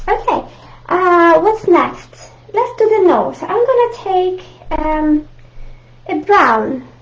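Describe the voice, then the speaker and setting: With an Italian accent, a woman speaks at an extremely high pitch and lively intonation. She talks at a very slow pace with long, frequent pauses. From Italy, Rome. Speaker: art teacher. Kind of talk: live online art tutorial. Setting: live video stream. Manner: friendly, halting with fillers.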